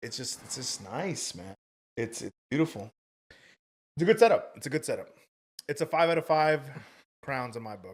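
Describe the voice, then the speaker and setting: Speaking at a moderate pace with long, frequent pauses, a man with a fairly high pitch and vocal fry swings very widely in pitch and greatly in loudness, on a very clean recording with a silent background. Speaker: podcast guest and podcaster. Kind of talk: casual chat. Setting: podcast studio.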